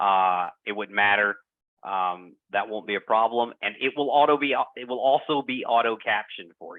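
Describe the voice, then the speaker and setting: The voice carries a strong Southern US accent. Its pitch varies in an ordinary way. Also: man. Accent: heavy Southern US. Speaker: product presenter. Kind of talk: software demo presentation. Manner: hesitant, many fillers.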